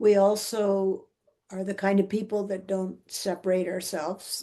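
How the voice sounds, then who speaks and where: With a Canadian accent, the voice has a dark, mellow tone and monotone, flat intonation at a fairly slow pace. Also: woman. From Vancouver, Canada. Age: 70s. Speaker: retired teacher and principal, trekker, author. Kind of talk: interview answer.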